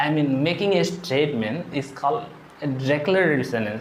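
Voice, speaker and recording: A man's fairly high voice with an Indian accent and lively intonation, amid noticeable background noise and audible room echo. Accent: Indian English (Odia). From India, Odisha. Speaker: English teacher. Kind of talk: tutorial.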